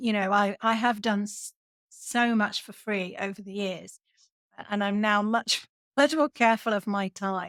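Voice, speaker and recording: A woman with a British accent at medium pitch, fairly slow and fairly even in intonation, with big swings in loudness, in a very clean recording with a silent background and a dry, close sound with no echo. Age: 60s. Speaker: podcast host and software trainer. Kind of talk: casual interview chat.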